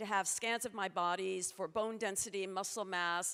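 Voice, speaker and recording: A woman speaks at a medium pitch with fairly even intonation in an ordinary speaking voice. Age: 60s. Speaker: futurist speaker. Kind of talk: conference talk.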